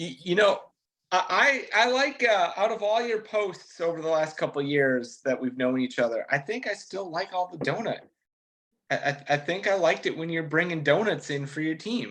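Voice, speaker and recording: Pitched high, a man with a Minnesotan accent talks at a moderate pace with very wide pitch swings. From Minnesota, Minneapolis. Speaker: race car driver. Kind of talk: casual interview. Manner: overly nice-sounding.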